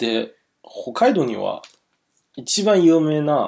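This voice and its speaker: A man speaks with a Chinese accent. His pitch swings very widely. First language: Chinese (speaking Japanese). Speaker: interviewer. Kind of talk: casual chat.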